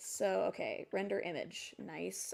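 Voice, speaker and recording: This is a woman speaking. The recording is very clean, with a silent background. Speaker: animator streaming their work. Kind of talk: casual live stream chat while working. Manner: halting, stumbles over words.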